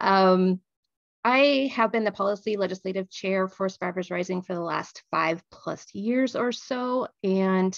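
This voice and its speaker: The recording is dry and close with no echo, and a woman speaks at a medium pitch with ordinary pitch variation. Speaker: survivor advocate, policy chair. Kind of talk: panel talk on webinar. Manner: fast.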